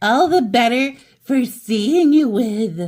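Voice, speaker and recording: A female-sounding voice in a put-on character voice speaks very slowly at a high pitch. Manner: strange, sly.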